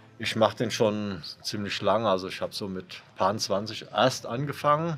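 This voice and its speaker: The man has a plain, everyday voice, talking at a fairly slow pace in a fairly low pitch with ordinary pitch variation. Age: 60s. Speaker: former enduro association chairman, enduro rider. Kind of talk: interview.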